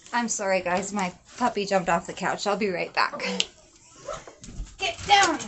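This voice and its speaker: Noticeable background noise surrounds a woman speaking at a medium pitch and moderate pace. She uses ordinary pitch variation and long, frequent pauses. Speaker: scripture reader. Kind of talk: casual talk to camera.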